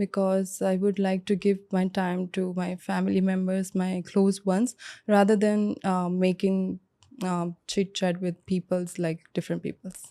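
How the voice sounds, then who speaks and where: In an Indian accent, a woman speaks at a medium pitch and a fairly slow pace, her dark, mellow tone set in a flat monotone over a quiet background. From India, Mumbai. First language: Bengali. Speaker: IELTS test candidate, cabin crew. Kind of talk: mock speaking exam interview. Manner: hesitant, many fillers.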